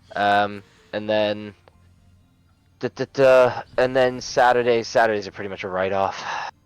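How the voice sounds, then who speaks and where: A man with a fairly low pitch speaks at a moderate pace, his intonation fairly even. Music plays behind him, and he takes long, frequent pauses. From Canada. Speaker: teacher, coaching client. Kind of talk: casual chat. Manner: halting, many fillers and restarts.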